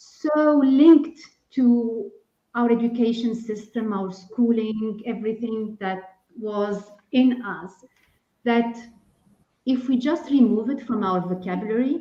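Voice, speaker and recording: A woman with a non-native accent talks at a very slow pace in a fairly high pitch, with a dark, mellow tone and ordinary pitch variation. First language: not English. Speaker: executive leadership coach. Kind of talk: panel discussion.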